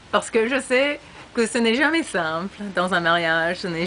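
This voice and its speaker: A woman is speaking. She has an English accent. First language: English (speaking French). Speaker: former exchange student. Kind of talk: recorded video message. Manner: halting.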